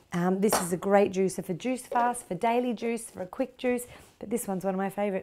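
A woman speaks at a medium pitch with ordinary pitch variation. Her tone is slightly mellow.

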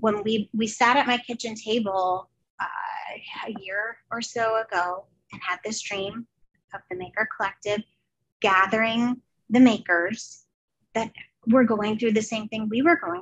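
Over a quiet background, a woman speaks at a fairly slow pace with fairly even intonation and big swings in loudness. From New Jersey. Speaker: artist and former teacher; former teacher. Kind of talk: casual interview chat. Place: home room. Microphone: headset.

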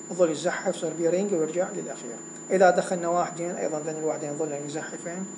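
With an Iraqi accent, a man speaks in a high voice amid noticeable background noise and audible room echo. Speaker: university lecturer. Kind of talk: lecture.

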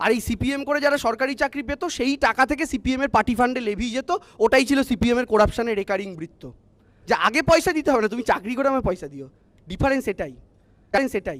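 Pitched extremely high for a man, his voice shows ordinary pitch variation in a dry, close sound with no echo. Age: 20s. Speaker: political party spokesperson on TV panel. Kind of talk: televised political debate. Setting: TV studio.

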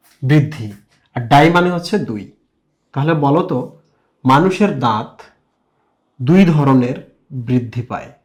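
This voice is somewhat breathy, with lively intonation. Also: man, fairly high pitch for a man. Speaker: biology teacher. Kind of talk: whiteboard lecture. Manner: animated, lots of rhetorical questions.

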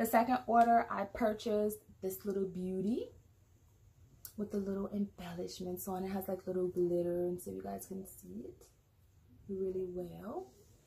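This woman talks at a moderate pace with long, frequent pauses and big swings in loudness. Her tone is dark and mellow, somewhat breathy, with ordinary pitch variation. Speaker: vlogger. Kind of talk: casual product review chat. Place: home room. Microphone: phone near.

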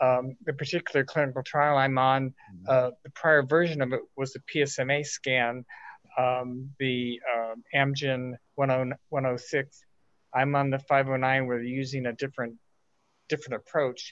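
A man's monotone, flat delivery at a fairly slow pace, with long, frequent pauses and a dry sound with no echo. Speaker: prostate cancer patient in support group. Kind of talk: audience question in online meeting. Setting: video call. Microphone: video call.

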